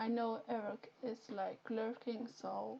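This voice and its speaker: Very slowly and in a flat monotone, a woman with a Flemish accent speaks in a fairly high pitch with a dark, mellow tone. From Flanders, Belgium. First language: Dutch (Flemish). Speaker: Twitch streamer. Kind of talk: live game stream chat. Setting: live stream.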